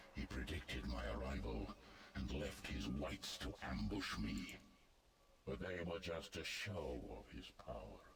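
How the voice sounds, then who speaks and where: Over clear background noise, a man growls in a put-on character voice with a very deep, low pitch at a fairly slow pace. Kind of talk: archaic formal speech. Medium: video game. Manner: formal, grave, imperious.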